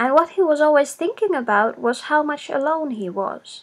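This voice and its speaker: A woman talks in a high pitch with lively intonation. She has a non-native accent. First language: not English. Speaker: storyteller. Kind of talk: reading aloud.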